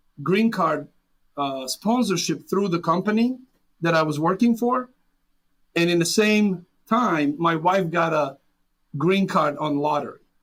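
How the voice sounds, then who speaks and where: A man's high voice with a Serbian accent, fairly slow and with ordinary pitch variation, over background music. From Serbia, rural small town. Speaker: immigrant business owner. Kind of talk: interview.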